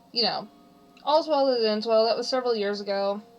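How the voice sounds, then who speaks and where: A woman's fairly high voice at a fairly quick pace, with ordinary pitch variation and music in the background. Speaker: streamer. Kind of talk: casual chat. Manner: loud.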